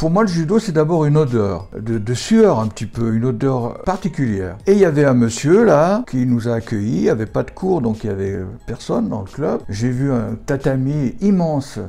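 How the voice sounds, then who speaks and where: A man speaks at a moderate pace with hardly any pauses. His medium-pitched voice moves in very wide pitch swings. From France, Saint-Étienne area. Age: 70s. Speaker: judo teacher. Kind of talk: interview. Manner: halting.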